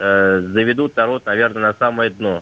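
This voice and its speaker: A man's medium-pitched voice with fairly even intonation, an unremarkable speaking voice. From Russia. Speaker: caller. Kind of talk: phone-in question. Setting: phone call. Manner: formal.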